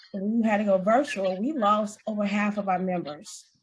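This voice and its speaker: A woman talks in a somewhat breathy voice. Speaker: area director in a public speaking club. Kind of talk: panel discussion.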